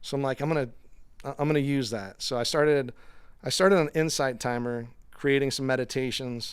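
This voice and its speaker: At a fairly quick pace, a man speaks in an animated tone at a medium pitch. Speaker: meditation and yoga teacher. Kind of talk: casual interview. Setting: in-person studio. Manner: animated, filler-heavy.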